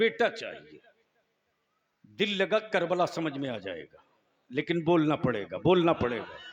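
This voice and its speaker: A man's voice with lively intonation. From India. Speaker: Islamic orator and poet. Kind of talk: religious speech to a gathering. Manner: fervent, rousing, call-and-response with audience.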